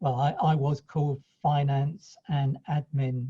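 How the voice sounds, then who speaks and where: Here a man talks at a fairly high pitch, somewhat breathy, with ordinary pitch variation. The sound is dry and close, with no echo. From East Anglia, England (Ipswich, Suffolk). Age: 60s. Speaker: franchisee accountant. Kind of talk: interview. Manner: halting, with many restarts.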